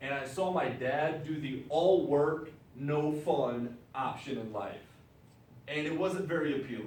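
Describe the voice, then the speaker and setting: Through audible room echo, a man with an American accent speaks in an animated tone at a fairly slow pace, with a fairly high pitch and ordinary pitch variation. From Wisconsin. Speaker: business presenter. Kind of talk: business presentation to audience.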